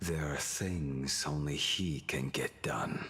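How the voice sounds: A man puts on a character voice at an extremely low pitch with a fairly bright tone. He talks slowly, with ordinary pitch variation.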